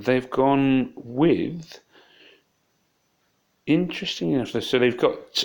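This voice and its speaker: A man mumbles in a put-on character voice at a medium pitch and very slow pace, with long, frequent pauses. The recording is very clean, with a silent background. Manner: mumbling to himself, thinking aloud.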